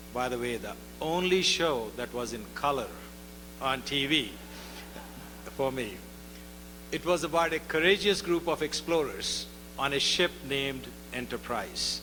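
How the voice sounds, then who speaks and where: Noticeable background noise runs behind a man speaking. He talks at a fairly slow pace with long, frequent pauses. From India. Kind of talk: event introduction speech.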